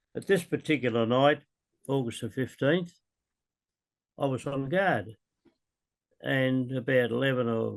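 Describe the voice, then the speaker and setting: An Australian accent from a man at a medium pitch, moderate pace and ordinary pitch variation. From Melbourne, Australia. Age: 80s+. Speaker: war veteran. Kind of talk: interview answer.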